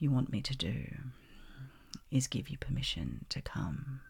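A woman speaks at an extremely low pitch, dark and mellow in tone. Her voice has vocal fry and a husky, rough edge.

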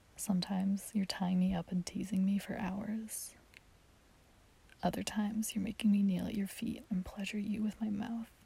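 Using a put-on character voice, a woman speaks at a medium pitch and a moderate pace, with little pitch movement. Her dark, mellow tone has a husky, rough edge and vocal fry.

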